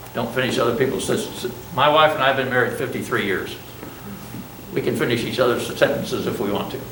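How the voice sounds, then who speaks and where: A man talks at a very fast pace in a medium pitch with ordinary pitch variation, yet leaves long, frequent pauses. Audible room echo and noticeable background noise surround him. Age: 70s. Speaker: college business instructor and Vietnam veteran. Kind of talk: classroom lecture. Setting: classroom with students. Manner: conversational, informal.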